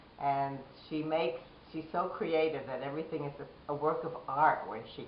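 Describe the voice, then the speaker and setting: A woman's very deep, low pitch and fairly even intonation, amid noticeable background noise and audible room echo. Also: moderate pace. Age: 70s. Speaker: diabetes patient. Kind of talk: interview testimony.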